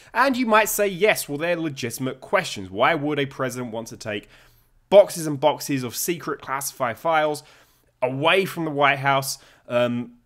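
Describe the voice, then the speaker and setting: This man talks at a moderate pace with lively intonation, a fairly high pitch and big swings in loudness, on a very clean recording with a silent background. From United Kingdom. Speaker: political commentator and lecturer. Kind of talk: video commentary.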